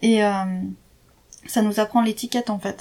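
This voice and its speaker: Somewhat breathy and fairly high-pitched, a woman speaks at a moderate pace in a monotone, flat intonation. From France, Jura. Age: 30s. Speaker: expatriate interviewee. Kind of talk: casual interview. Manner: hesitant, many fillers.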